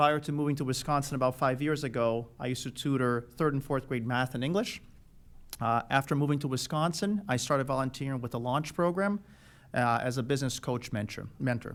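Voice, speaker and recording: With a Portuguese accent, a man talks at a fairly quick pace in a medium pitch with ordinary pitch variation, on a very clean recording with a silent background. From Brazil, Rio de Janeiro. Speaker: school board candidate, electrical engineer. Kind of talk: candidate forum opening statement. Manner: hesitant, many filler uhs.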